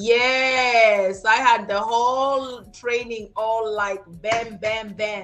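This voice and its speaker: A woman with a fairly high pitch speaks at a very slow pace with hardly any pauses. Noticeable background noise is present. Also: fairly even intonation. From Kenya. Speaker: crypto entrepreneur. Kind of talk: interview. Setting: video call.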